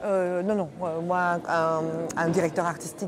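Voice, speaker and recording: A woman's fairly low-pitched voice. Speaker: voice actor (dubbing). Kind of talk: interview. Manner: halting, many hesitations.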